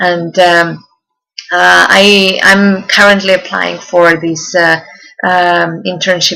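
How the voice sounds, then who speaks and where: Fairly slow speech with a Czech accent. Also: woman. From Czech Republic. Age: 20s. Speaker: university student. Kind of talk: self-presentation. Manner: halting, many fillers.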